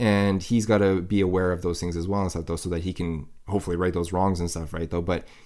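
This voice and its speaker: In a very clean recording with a silent background, a man with a Canadian accent talks at a very fast pace in a very deep, low pitch. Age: 30s. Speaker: podcast host. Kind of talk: casual chat.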